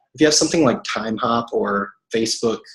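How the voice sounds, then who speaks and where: Here a man of medium pitch talks with ordinary pitch variation. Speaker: network marketing coach. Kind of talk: team training call. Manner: fast.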